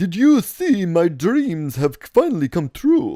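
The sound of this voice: This put-on character voice sits at a middle pitch with very wide pitch swings. It unfolds at a fairly slow pace.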